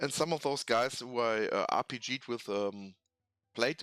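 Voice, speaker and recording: In a German accent, a man talks at medium pitch with a bright, sharp tone. The sound is dry and close with no echo, on a very clean recording with a silent background. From Germany. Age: 40s. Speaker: tabletop hobby youtuber. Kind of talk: casual hobby talk. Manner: halting, many fillers.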